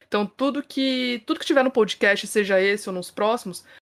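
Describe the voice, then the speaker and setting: A woman speaks in a plain, everyday voice at a medium pitch, with ordinary pitch variation and a fairly quick pace. The recording is very clean, with a silent background. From Brazil, São Paulo. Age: 30s. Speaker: podcast host, journalist. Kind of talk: casual podcast chat.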